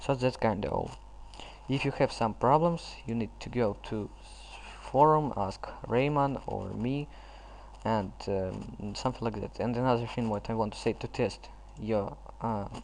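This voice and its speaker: At a fairly slow pace, a man speaks with a non-native accent. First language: not English. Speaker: gaming tutorial youtuber. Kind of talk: tutorial. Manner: halting.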